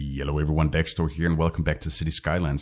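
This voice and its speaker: A man with a very deep, low pitch and vocal fry. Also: very clean recording, silent background. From Northern Europe. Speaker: gaming YouTuber. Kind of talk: gameplay commentary. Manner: casual, thinking aloud with hesitations.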